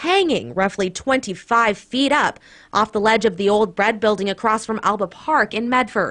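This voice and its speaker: A woman with an unremarkable speaking voice, fairly high pitch, and a moderate pace. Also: ordinary pitch variation. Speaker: TV news reporter and anchor. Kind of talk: TV news package voice-over.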